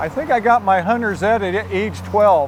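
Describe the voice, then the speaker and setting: Noticeable background noise behind a male speaker with an American accent. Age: 60s. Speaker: store owner. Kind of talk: interview.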